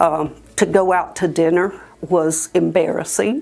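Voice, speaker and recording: Very slow speech with music in the background. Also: woman. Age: 60s. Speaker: dental patient. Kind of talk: testimony. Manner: hesitant, many fillers.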